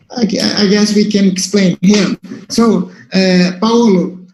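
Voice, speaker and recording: The speech comes at a very slow pace in a Brazilian Portuguese accent, with monotone, flat intonation. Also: man. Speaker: moderator at medical seminar. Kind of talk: question at academic seminar. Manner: halting. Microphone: transmission problems.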